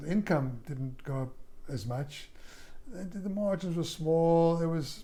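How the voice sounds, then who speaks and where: Audible room echo surrounds a man whose fairly high pitch carries a dark, mellow tone. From South Africa. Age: 60s. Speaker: former yoga studio owner and drummer. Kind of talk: casual interview. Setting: at his home. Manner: halting, with many repetitions.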